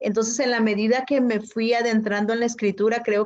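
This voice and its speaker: A woman in a Chiapas accent, against a quiet background. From Chiapas, Mexico (Zoque community). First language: Zoque (speaking Spanish). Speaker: poet and writer. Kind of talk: interview conversation. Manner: hesitant, many fillers.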